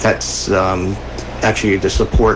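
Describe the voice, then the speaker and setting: Background noise is clearly present while a male speaker talks with an American accent. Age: 60s. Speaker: city commissioner and radio co-host. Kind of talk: radio talk show. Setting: radio studio. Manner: halting, many fillers.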